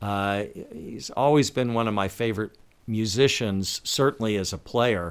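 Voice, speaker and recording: This man has an ordinary speaking voice with a fairly low pitch. He talks at a fairly slow pace. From Washington, D.C. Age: 60s. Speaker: guitarist and podcast host. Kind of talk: casual interview chat. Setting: remote call.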